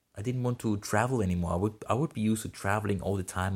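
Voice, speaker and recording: A somewhat breathy voice with ordinary pitch variation, recorded very cleanly against a silent background. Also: man. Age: 20s. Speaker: podcast host, YouTuber. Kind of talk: personal monologue. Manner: halting.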